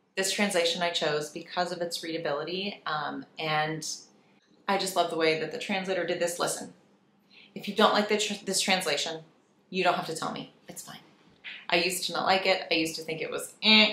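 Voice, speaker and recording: A woman with a fairly low pitch talks at a fairly quick pace, her loudness swinging widely, with audible echo in the room. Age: 30s. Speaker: lifestyle YouTuber. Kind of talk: casual chat. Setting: home office with echo. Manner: animated. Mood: warm, relaxed. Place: office.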